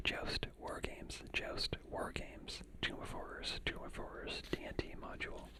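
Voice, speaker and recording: Someone whispers at a fairly slow pace with hardly any pauses, against noticeable background noise. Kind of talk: ASMR reading. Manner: whispered.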